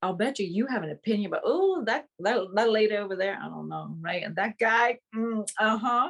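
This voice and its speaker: A woman speaks with a Vietnamese accent. Her fairly high voice moves at a fairly quick pace. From Vietnam, Saigon. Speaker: actress. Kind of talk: interview. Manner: animated.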